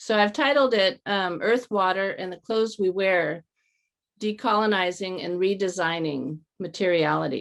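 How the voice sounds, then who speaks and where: On a very clean recording with a silent background, a woman with a Californian accent speaks at a moderate pace, her medium pitch showing ordinary variation. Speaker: artist. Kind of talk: lecture.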